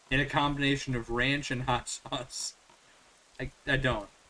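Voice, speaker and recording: Against noticeable background noise, a man with an American accent speaks at a moderate pace in a fairly high pitch. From Northern Virginia, US. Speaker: gaming streamer. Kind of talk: casual chat. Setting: live stream with headphones.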